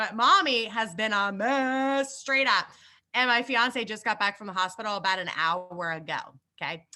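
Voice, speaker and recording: Over a silent background in a very clean recording, a woman speaks at a moderate pace in an animated, bright, sharp tone with ordinary pitch variation. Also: fairly high pitch for a woman. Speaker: network marketing leader. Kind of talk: live business training.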